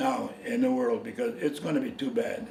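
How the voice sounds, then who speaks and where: A high-pitched man's voice at a fairly slow pace, with very wide pitch swings, amid noticeable background noise and audible room echo. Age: 80s+. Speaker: war veteran. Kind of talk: interview. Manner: halting.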